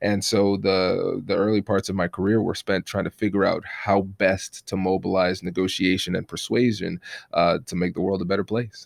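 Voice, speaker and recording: The speaker has an American accent and a monotone, flat delivery at a moderate pace, with hardly any pauses. The sound is dry and close with no echo, on a very clean recording with a silent background. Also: man, fairly low pitch for a man. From Tiffin, Ohio, US Midwest, Caribbean family. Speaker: attorney and negotiation trainer. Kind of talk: interview conversation.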